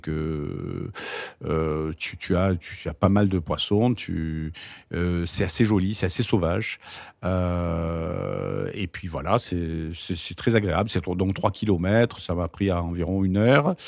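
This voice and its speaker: The recording is very clean, with a silent background. A man speaks very slowly in a very deep, low pitch. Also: ordinary pitch variation. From Marseille, southern France. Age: 60s. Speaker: doctor. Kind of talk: interview. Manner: halting, with frequent word repetitions.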